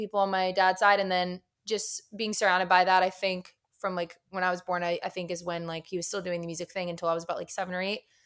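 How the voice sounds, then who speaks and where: A woman speaks at a very fast pace with an American accent. Her pitch is medium. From Florida, Tampa. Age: 20s. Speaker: singer-songwriter. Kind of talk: casual chat. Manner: hesitant, many fillers.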